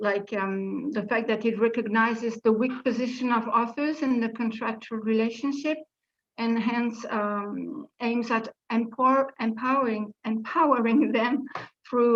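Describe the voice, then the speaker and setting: Fairly even intonation and a fairly slow pace mark this speech in a French accent. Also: woman, fairly high pitch for a woman. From France. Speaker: literary translator, panel speaker. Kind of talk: conference presentation. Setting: video conference. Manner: hesitant, many fillers.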